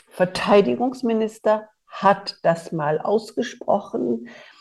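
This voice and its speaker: Speaking at a very slow pace, a woman with a medium pitch and vocal fry uses lively intonation. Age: 30 years older than during the Bosnian war, so 60s or older. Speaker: podcast host, politician. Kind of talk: interview conversation.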